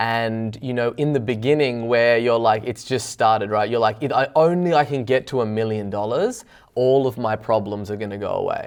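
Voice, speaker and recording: Over noticeable background noise, a man with an Australian accent talks at a moderate pace and a medium pitch. He has ordinary pitch variation and hardly any pauses. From Australia, Byron Bay. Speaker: business owner. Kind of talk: interview.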